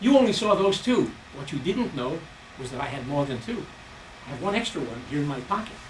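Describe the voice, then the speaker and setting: A man with a New York accent, high-pitched and raised in a projected voice, very fast, with very wide pitch swings, audible room echo and noticeable background noise. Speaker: stage magician. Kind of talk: stand-up magic act. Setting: stage with audience.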